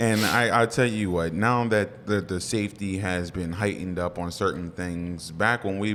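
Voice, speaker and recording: Using fairly even intonation, a man with an American accent talks at a moderate pace in a very deep, low voice. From southwestern Pennsylvania. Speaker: former high school football player. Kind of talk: casual interview.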